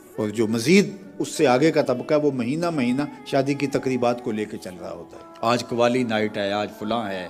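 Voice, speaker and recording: Music plays in the background as a man with a medium pitch talks in a lively intonation, with big swings in loudness. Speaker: Islamic preacher. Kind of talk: Islamic sermon.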